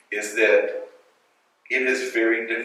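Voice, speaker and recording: A man with an American accent speaks with audible echo in the room. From Louisiana, US South. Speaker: school director and educator. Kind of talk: panel talk at a schools conference. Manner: hesitant, with fillers and repetitions.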